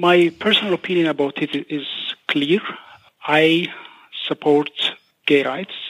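A man with a fairly high voice speaks at a very slow pace. He leaves long, frequent pauses and keeps his intonation fairly even. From Ethiopia. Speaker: human rights researcher. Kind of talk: interview. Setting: phone call.

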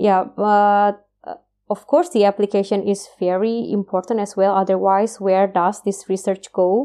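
A woman's dark, mellow tone in an Indonesian accent, at a fairly slow pace. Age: 30s. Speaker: PhD researcher in biotechnology. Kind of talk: interview. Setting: video call. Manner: hesitant, many fillers.

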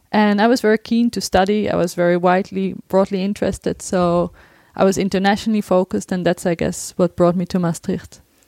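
A woman speaks at a fairly quick pace with a Dutch accent, her medium-pitched voice dark and mellow in tone. Her intonation stays monotone and flat, and the very clean recording has a dry, close sound with no echo over a silent background. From Netherlands. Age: 30s. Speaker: researcher. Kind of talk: interview.

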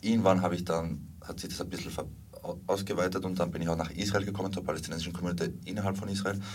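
A man talks at a very fast pace in a very deep, low pitch. His intonation is monotone and flat, with audible room echo. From Spain and Salzburg, Austria. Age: 30s. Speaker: documentary filmmaker and activist. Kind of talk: interview.

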